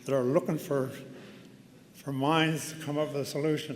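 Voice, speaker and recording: Audible room echo hangs over delivery at a moderate speed. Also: man. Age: 70s. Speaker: honorary degree recipient giving convocation address. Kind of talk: convocation speech. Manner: conversational, with hesitations.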